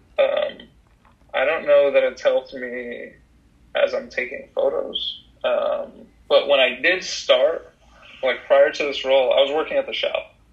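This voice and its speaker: The speaker has a General American accent and a fairly slow pace. Noticeable background noise can be heard. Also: man. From Colorado, US (Denver area). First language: Russian. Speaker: photographer. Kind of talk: casual interview.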